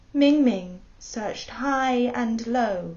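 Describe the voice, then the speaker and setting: A woman's fairly high voice with a British accent, amid audible room echo and noticeable background noise. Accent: quite British. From Hong Kong. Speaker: storyteller, actor. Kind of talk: personal introduction; bedtime story telling.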